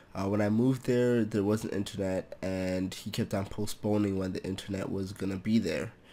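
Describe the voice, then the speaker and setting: A man speaks with a dark, mellow tone. The pitch is fairly low. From Toronto, Canada. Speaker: programming tutor YouTuber. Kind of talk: casual vlog update. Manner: monotone; hesitant, many fillers.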